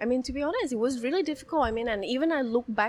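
Lively intonation marks a woman's high-pitched voice amid noticeable background noise. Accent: Thai. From Bangkok, Thailand. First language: Thai. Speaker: business owner and pianist. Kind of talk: casual interview chat.

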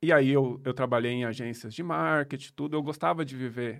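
In a normal speaking voice, a man talks at a medium pitch and a moderate pace with ordinary pitch variation, the sound dry and close with no echo and the recording very clean against a silent background. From São Paulo, Brazil. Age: 30s. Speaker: accountant and digital nomad entrepreneur. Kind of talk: casual interview. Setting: studio.

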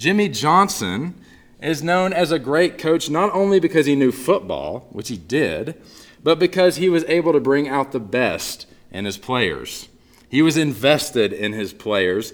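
A man with an American accent talks at a fairly slow pace, his fairly high voice making very wide pitch swings. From US South, Northeast Texas. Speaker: pastor. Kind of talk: sermon.

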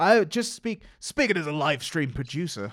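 A man with an English accent on a very clean recording with a silent background. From England. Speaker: podcast co-host, live stream producer. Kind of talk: casual chat.

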